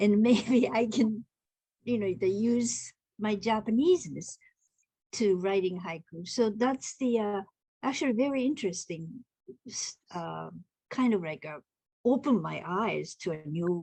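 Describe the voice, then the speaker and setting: A woman with a medium pitch and a dark, mellow, somewhat breathy tone speaks at a fairly slow pace with lively intonation and long, frequent pauses. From Japan (Tokyo). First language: Japanese. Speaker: haiku poet and translator. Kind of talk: online group discussion. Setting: video call. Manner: halting.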